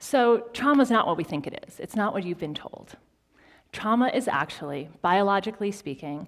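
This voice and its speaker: A woman's unremarkable speaking voice at a medium pitch and moderate pace, in a very clean recording with a silent background. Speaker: transformational speaker, psychotherapist. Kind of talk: keynote speech to live audience.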